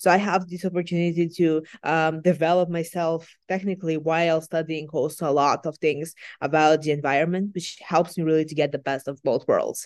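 In a Macedonian accent, a woman talks at a fairly quick pace with a fairly low pitch and monotone, flat intonation. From North Macedonia. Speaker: student climate activist. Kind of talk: interview.

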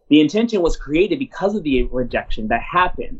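A man with an American accent talks at a moderate pace in a passionate tone. His pitch swings very widely. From Washington DC. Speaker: theater artistic director. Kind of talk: interview.

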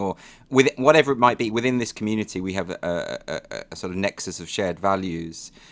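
A man with a plain, everyday voice talks at a fairly quick pace in a fairly low pitch, with ordinary pitch variation on a very clean recording with a silent background. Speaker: author and comedian. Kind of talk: casual interview chat. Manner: talks fast naturally.

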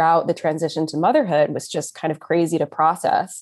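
In an American accent, a woman with an unremarkable speaking voice and fairly low pitch talks at a moderate pace with fairly even intonation, captured on a very clean recording with a silent background. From Texas, Austin. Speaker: new mother sharing birth story. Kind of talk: casual interview, personal story.

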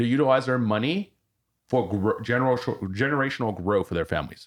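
Over a very clean recording with a silent background, a man with vocal fry talks at a fairly quick pace with very wide pitch swings. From France. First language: French. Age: 40s. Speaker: war veteran. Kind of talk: casual chat.

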